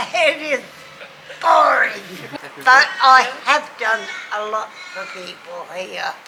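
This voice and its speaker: In an Australian accent, a woman speaks at a very slow pace with a raised, projected voice, a high pitch and lively intonation. The recording carries noticeable background noise and audible room echo. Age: 80s+. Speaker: older public housing resident. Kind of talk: interview. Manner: halting.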